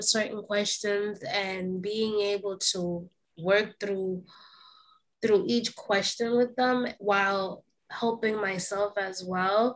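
A woman's fairly high voice in a New York accent, very slow in pace, with ordinary pitch variation. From New York, the Bronx. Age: 20s. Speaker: self-growth coach. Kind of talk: casual chat.

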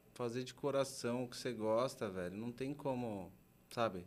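The speech comes at a fairly slow pace in a São Paulo accent. Pitch rises and falls in an ordinary way. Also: man. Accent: Paulistano Brazilian Portuguese. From São Paulo, Brazil. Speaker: art agency co-founder. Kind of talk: casual interview chat.

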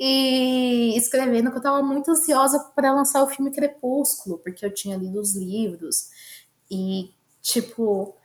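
The voice belongs to a woman and sits high in pitch. Lively intonation runs through her speech. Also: fairly slow pace. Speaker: podcast co-host. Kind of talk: casual chat. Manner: animated.

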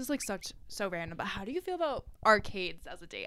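Bright, sharp tone from a woman, fairly high in pitch with very wide pitch swings, at a fairly quick pace. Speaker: podcast co-host, college student. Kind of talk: casual chat.

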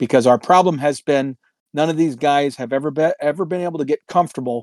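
A man with a fairly high pitch and ordinary pitch variation speaks at a fairly quick pace in an unremarkable speaking voice, on a very clean recording with a silent background and a dry, close sound with no echo. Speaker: podcast co-host. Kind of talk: casual chat. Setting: in Florida, drinking beer while recording.

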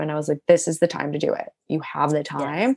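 A woman with a very deep, low pitch and vocal fry speaks at a fairly quick pace. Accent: American. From US Midwest (Cleveland, Ohio). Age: 20s. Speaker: founder of a paper and planner company. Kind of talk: interview, casual chat. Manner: animated.

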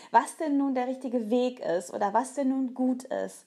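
A woman talks at a moderate pace with fairly even intonation. The recording is very clean, the background silent. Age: 40s. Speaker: nutrition coach and podcast host. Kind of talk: solo podcast monologue.

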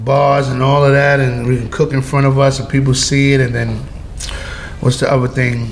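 With a New York accent, a man at medium pitch speaks at a moderate pace against noticeable background noise. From New York (Flushing, Queens). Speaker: rapper. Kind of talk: casual interview. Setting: penthouse apartment, New York City. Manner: halting, repetitive.

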